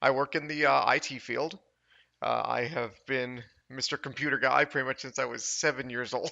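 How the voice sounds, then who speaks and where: Speaking with an American accent, a man uses a medium pitch with vocal fry. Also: fairly even intonation, moderate pace. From Chicago area. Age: 30s. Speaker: IT worker. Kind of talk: casual chat. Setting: podcast interview. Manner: hesitant, many fillers.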